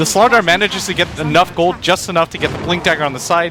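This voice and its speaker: At a very fast pace, a man speaks in a high pitch over noticeable background noise. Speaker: esports color commentator. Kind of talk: live commentary.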